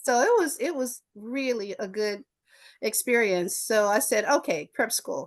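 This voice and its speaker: In an American accent, a woman talks at a high pitch and a fairly slow pace with lively intonation, the background quiet. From US South, Memphis, Tennessee. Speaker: attorney. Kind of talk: interview storytelling. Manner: animated.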